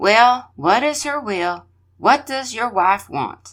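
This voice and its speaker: A female-sounding voice is heard in a put-on character voice, pitched fairly high. The pace is very slow. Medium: read story.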